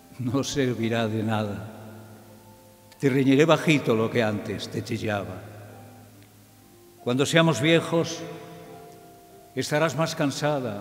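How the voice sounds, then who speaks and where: A man talks at a very slow pace with long, frequent pauses while faint music plays in the background. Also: ordinary pitch variation. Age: old. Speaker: radio broadcaster; journalist. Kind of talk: poetry reading. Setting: theatre recital with choir accompaniment. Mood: tender, nostalgic. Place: stage. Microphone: podium.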